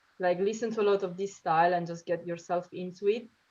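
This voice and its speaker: A woman speaks at a medium pitch with an Italian accent. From Italy, Sicily. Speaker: drummer. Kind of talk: casual interview. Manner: hesitant, many fillers.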